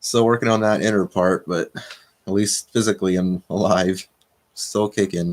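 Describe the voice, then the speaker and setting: At a moderate pace, a man speaks in a plain, everyday voice, fairly low in pitch with fairly even intonation and a dry, close sound with no echo. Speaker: livestream host. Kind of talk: casual live chat reading comments. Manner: casual, rambling.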